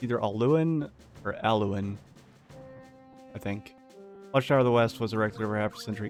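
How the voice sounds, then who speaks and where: A man's medium-pitched voice, with ordinary pitch variation, is heard over music in the background. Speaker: game streamer reading in-game lore aloud. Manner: casual, rambling, hesitant when reading.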